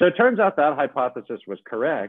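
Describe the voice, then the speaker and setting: A normal speaking voice from a man, with lively intonation at a fairly quick pace. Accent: American. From US Mid-Atlantic (Maryland). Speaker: entrepreneur and jazz pianist. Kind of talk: interview conversation.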